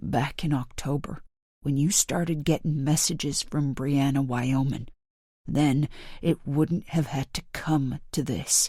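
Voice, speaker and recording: Soft-spoken, raspy put-on character voice at a low-to-middle pitch and fairly slow pace, in a very clean recording with a silent background. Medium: read story. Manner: murmuring, cool.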